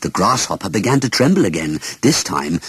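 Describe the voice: A man's fairly bright tone with a husky, rough edge, low in pitch, big pitch swings and a moderate pace.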